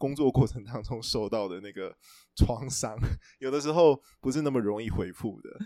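A man with a Taiwanese accent speaks in a dark, mellow tone at a medium pitch. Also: ordinary pitch variation, moderate pace, big swings in loudness. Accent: Taiwanese Mandarin. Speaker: book editor. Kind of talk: casual chat.

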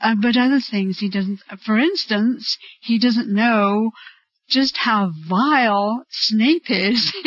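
A woman with an American accent speaks very slowly in a fairly high, somewhat breathy voice, with ordinary pitch variation and very even loudness. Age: 50s. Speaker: fan. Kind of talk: interview.

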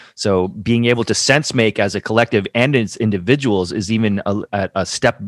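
Recorded very cleanly with a silent background and a dry, close sound with no echo, a man with a fairly low pitch speaks at a moderate pace with ordinary pitch variation. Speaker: podcast host. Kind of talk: interview conversation. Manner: warm, enthusiastic.

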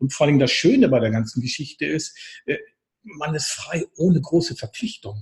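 A man's fairly high, somewhat breathy voice with lively intonation at a moderate pace, in a dry, close sound with no echo. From northern Germany. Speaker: therapist trainer. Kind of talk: casual interview.

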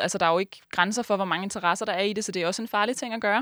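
In a very clean recording with a silent background, a woman speaks in a bright, sharp tone at medium pitch with ordinary pitch variation. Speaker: student podcast host. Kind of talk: interview and scripted narration.

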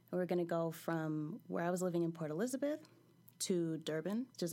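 In an American accent, a woman speaks at a fairly quick pace with a dark, mellow tone. The recording is very clean, with a silent background. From California. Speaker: storyteller. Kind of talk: personal storytelling. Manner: casual, laughing.

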